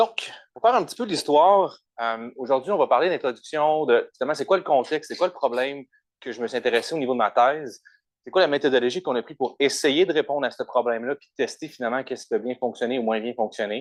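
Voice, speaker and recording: Delivery is very fast, with lively intonation and big swings in loudness. The background is quiet. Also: man, fairly high pitch for a man. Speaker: doctoral researcher in computer science. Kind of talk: conference talk. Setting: conference room with audience, also streamed online.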